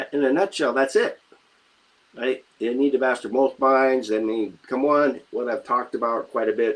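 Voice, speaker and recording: This man talks at a fairly slow pace. His pitch is medium and his intonation fairly even. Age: 60s. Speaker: mindset coach. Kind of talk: live stream talk. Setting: live video in online group. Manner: casual, hesitant with fillers.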